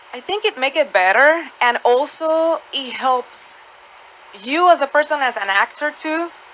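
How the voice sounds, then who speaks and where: Over noticeable background noise, a woman with a Spanish accent talks at a fairly slow pace, with high pitch and lively intonation. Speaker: actor. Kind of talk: radio interview. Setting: studio. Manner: halting.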